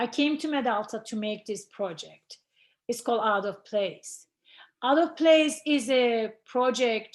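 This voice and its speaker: Fairly slow speech from a woman, with ordinary pitch variation. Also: fairly high pitch for a woman. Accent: non-native. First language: not English. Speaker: ceramic artist. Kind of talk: artist talk presentation. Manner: halting.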